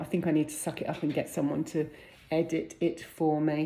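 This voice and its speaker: This woman speaks with a British accent in a very deep, low voice, her tone dark and mellow and her intonation flat and monotone. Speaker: vlogger and freelance business owner. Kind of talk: casual vlog talk to camera. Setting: at home. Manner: fast.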